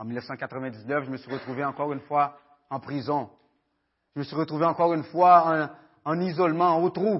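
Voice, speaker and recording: At a moderate pace, a man speaks with a fairly high pitch and ordinary pitch variation. His loudness swings widely, and he leaves long, frequent pauses. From Haiti, raised in Quebec (Montreal area) from age 14. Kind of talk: testimony. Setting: church with audience, microphone. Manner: halting, many fillers and repetitions.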